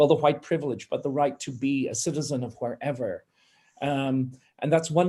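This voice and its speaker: With a dark, mellow tone and a fairly high pitch, a man speaks at a moderate pace and with fairly even intonation. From Ireland. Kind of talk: panel discussion. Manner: impassioned.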